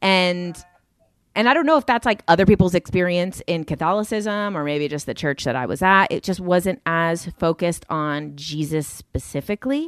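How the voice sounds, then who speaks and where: With an American accent, a woman speaks in a normal speaking voice at a fairly low pitch with ordinary pitch variation, in a very clean recording with a silent background and a dry, close sound with no echo. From New Jersey, Jersey City. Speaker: social media content creator. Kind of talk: casual chat.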